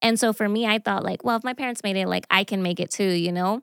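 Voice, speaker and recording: A woman speaks in an unremarkable speaking voice at medium pitch, with fairly even intonation. The recording is very clean with a silent background and a dry, close sound with no echo. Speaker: church team leader. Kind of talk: casual chat.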